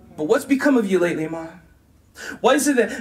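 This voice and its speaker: The speaker talks at a fairly quick pace with an American accent. Noticeable background noise runs underneath. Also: man. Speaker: spoken word poet. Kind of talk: spoken word poetry performance.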